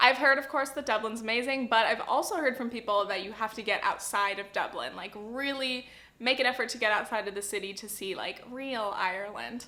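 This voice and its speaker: With an American accent, a woman uses an ordinary speaking voice at a fairly high pitch and ordinary pitch variation. She talks at a fairly quick pace with hardly any pauses and big swings in loudness. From Southern California. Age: 20s. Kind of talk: casual talk to camera.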